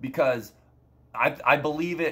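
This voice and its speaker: With a normal speaking voice, this man lets his pitch vary in an ordinary way. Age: 20s. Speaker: gaming streamer. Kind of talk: casual monologue to viewers.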